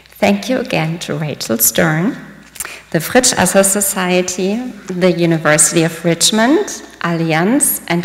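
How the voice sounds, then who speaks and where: In a German accent, a woman speaks at a fairly slow pace. Her fairly low voice moves with lively intonation. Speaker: diplomat. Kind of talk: speech. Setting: stage with audience. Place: hall. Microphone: podium.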